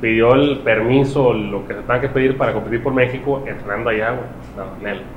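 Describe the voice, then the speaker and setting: A man at medium pitch, fairly quick and fairly even in intonation, with audible room echo and noticeable background noise. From Mexico. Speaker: podcast co-host. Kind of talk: casual chat.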